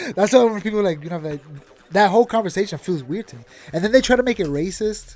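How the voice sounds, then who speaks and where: Talking at a very fast pace in a New York accent, a man with a high pitch sounds animated, with lively intonation and big swings in loudness. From New York (Puerto Rican family). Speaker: podcast co-host. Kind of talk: casual chat.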